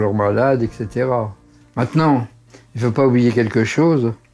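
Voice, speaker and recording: A man is speaking. Music plays in the background. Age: 80s+. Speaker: doctor. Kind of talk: interview. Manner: halting.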